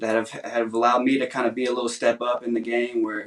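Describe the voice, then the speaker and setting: A man with an American accent, medium pitch, and a very fast pace. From Nashville, Tennessee. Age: 20s. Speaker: songwriter contestant. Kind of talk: interview.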